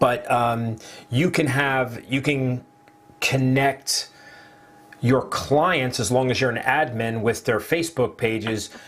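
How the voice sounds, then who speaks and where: With an American accent, a man speaks at a very slow pace and medium pitch, with ordinary pitch variation. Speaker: online marketing affiliate. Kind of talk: casual live stream chat. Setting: live video stream.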